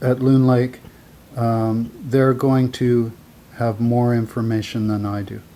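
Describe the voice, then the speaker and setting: A soft-spoken man with a medium pitch talks at a very slow pace in a monotone, flat intonation. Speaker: amateur wildfire map commentator. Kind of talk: screen-share commentary.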